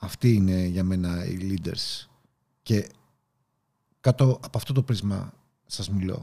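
Very deep and low, the man's voice has a dark, mellow tone and ordinary pitch variation. Long, frequent pauses break up his speech. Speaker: podcast host and leadership coach. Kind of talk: motivational talk. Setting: video recording. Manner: animated.

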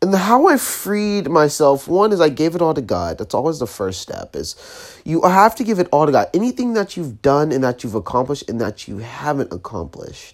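Soft-spoken, the voice moves at a fairly quick pace. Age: 20s. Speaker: podcast host. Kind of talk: motivational monologue. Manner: quiet, steady, soft-spoken.

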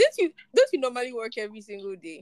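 A woman's fairly high voice at a fast pace, slightly mellow in tone, with very wide pitch swings

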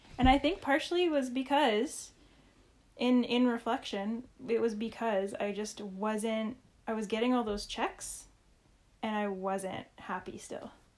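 Very clean recording, silent background, with a woman speaking in a Canadian accent. Her pitch is fairly high, with ordinary variation. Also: fairly slow pace. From Saskatchewan, Canada. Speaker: health and relationship coach, podcast co-host. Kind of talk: casual chat. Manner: animated.

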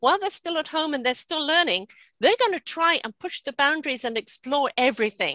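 A woman speaks in a raised, projected voice that is high in pitch and bright and sharp in tone, at a fairly quick pace with very wide pitch swings and a dry, close sound with no echo. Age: 60s. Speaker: podcast host. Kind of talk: casual chat.

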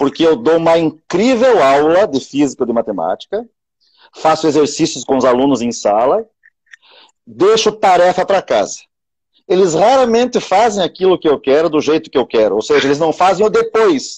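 Dry and close with no echo, a man's fairly high voice moves through very wide pitch swings at a moderate pace. His loudness stays very even. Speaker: teacher. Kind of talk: casual chat. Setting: live video stream.

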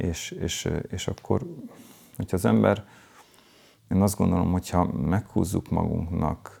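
Very deep and low in pitch, a man with a dark, mellow tone and vocal fry speaks at a fairly slow pace with lively intonation. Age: 50s. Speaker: tantra workshop leader. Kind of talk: interview. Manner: halting, many repeated words.

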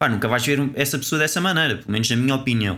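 A man speaks with a European Portuguese accent and a bright, sharp tone. His medium pitch shows ordinary variation, in a very clean recording with a silent background. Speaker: podcast co-host. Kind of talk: casual chat.

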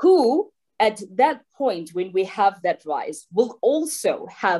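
Dark and mellow in tone, this woman's voice swings very widely in pitch. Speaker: lawyer and banker. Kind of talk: panel discussion.

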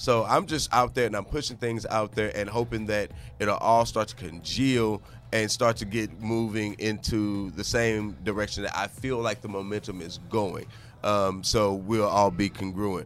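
A man with a plain, everyday voice, fairly low pitch, moderate pace and fairly even intonation. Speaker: podcast host. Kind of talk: casual interview chat.

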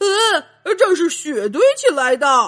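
A woman puts on a character voice, high-pitched and fairly bright in tone, with big pitch swings. She speaks at a slow pace as faint music plays in the background.

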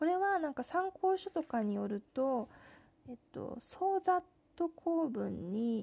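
A woman speaks at a fairly slow pace, her tone dark, mellow and relaxed. Her pitch moves in very wide swings. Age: 30s. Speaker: podcast host. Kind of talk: casual monologue. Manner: relaxed, with many fillers.

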